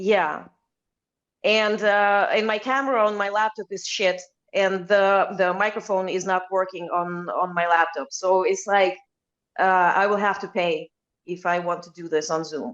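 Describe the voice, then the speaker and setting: A woman speaks at medium pitch with fairly even intonation. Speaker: enneagram content creator. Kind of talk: casual chat. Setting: video call. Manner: slow. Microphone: laptop mic not working.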